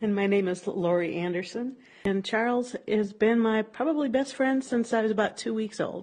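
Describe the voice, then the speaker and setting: A woman with a fairly high pitch and ordinary pitch variation talks at a moderate speed. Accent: American. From Minnesota.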